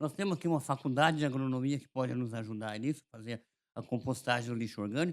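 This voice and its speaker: A man at medium pitch talking at a very fast pace, ordinary pitch variation, on a very clean recording with a silent background. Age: 70s. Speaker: mayoral candidate, former mayor. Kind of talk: interview. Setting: studio.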